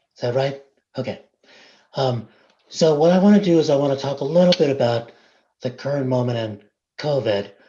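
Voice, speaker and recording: Somewhat breathy and dark, mellow in tone, a man speaks at a fairly high pitch and fairly quick pace with ordinary pitch variation and long, frequent pauses. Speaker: invited speaker, academic. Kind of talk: presentation to a board meeting. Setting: video call.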